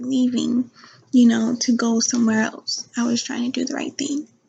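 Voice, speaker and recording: A soft-spoken woman's whisper at a moderate pace. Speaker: vlogger, truck driver. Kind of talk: casual vlog talk to camera. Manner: whispering a little, soft; hesitant, many fillers. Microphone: new laptop mic.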